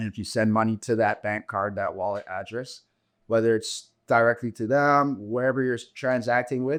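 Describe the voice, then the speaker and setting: Over a quiet background, a man talks at a medium pitch and moderate pace in an ordinary speaking voice with fairly even intonation. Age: 30s. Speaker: entrepreneur and blockchain educator. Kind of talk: casual interview.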